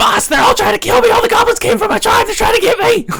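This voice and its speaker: A man's put-on character voice, extremely high-pitched and very fast. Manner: panicked, frantic.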